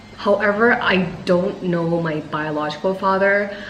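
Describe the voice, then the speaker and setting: A woman with an American accent talks amid noticeable background noise and audible room echo. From Thailand and United States. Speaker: vlogger and personal trainer. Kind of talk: casual chat.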